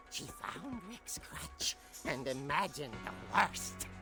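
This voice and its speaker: Clear background music under a put-on character voice, delivered fairly slowly. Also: man, medium pitch for a man. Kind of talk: horror narration. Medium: video game. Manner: theatrical, wry.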